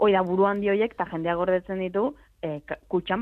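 A woman talks at a medium pitch in an ordinary speaking voice. Her intonation stays fairly even. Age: 20s. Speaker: video game commentator. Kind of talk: casual chat.

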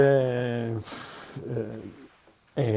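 Fairly even intonation marks this man's speech. His voice sits at a medium pitch. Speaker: gardening expert. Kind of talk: radio phone-in advice. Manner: halting.

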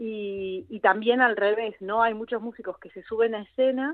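The speaker has an Argentine accent. The intonation stays fairly even. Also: woman. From Argentina. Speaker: actress and singer. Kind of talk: radio interview.

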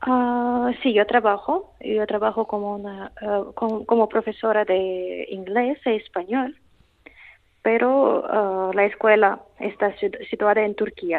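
Speaking at a very slow pace, a woman uses a Russian accent. Her voice is fairly high in pitch, with fairly even intonation. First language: Russian (speaking Spanish). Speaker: language teacher. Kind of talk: interview. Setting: phone call. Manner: halting.

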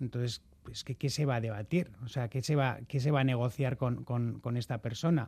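This man's voice holds a medium pitch, his intonation fairly even and his delivery fairly quick. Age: 40s. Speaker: football club presidential candidate. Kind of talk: radio interview. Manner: halting.

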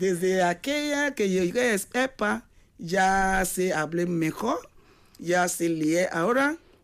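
With a non-native accent, a woman speaks at a very slow pace with lively intonation. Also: medium pitch for a woman. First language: not Spanish (speaking Spanish). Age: 40s. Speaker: adult education student. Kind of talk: radio interview.

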